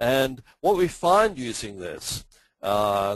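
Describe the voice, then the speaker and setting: A man with an Australian accent at medium pitch, the sound dry and close with no echo. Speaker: finance professor. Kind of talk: lecture. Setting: webinar. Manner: hesitant, many fillers.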